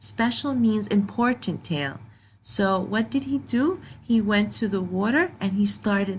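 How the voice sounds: The pitch of this natural reading voice varies in an ordinary way.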